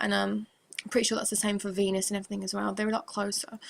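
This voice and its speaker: A woman talks at a very fast pace in a medium pitch. Her voice is somewhat breathy. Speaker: religious video blogger. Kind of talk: religious monologue to camera.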